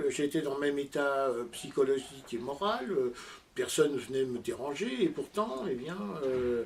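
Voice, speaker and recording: The man's intonation is lively, though his delivery comes at a fairly slow pace. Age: 60s. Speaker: amateur audio enthusiast and inventor. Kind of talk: interview. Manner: halting, many hesitations.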